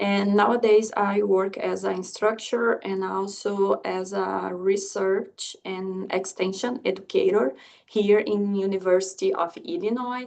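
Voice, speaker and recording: A woman with a Brazilian accent at a fairly slow pace, hardly any pauses. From southern Brazil. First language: Portuguese. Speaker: agricultural economics researcher and instructor. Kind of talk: lecture. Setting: video call. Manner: halting.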